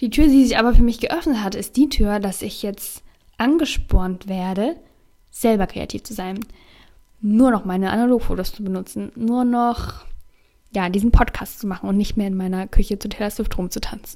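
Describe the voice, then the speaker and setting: A woman with a normal speaking voice talks at a moderate pace, her pitch fairly high with ordinary variation. Her loudness swings widely. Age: 20s. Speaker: youtuber and podcaster. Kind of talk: casual solo podcast monologue.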